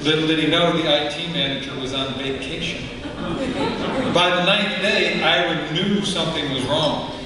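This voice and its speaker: Noticeable background noise sits behind a man with a fairly high voice and ordinary pitch variation. He speaks at a fairly slow pace with hardly any pauses. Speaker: conference speaker. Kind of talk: humorous storytelling presentation. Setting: conference stage. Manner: playful, casual.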